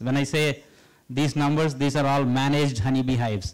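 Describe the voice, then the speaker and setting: The speech comes at a fairly quick pace with an Indian accent. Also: man. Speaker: professor. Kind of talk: public lecture. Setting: stage with audience.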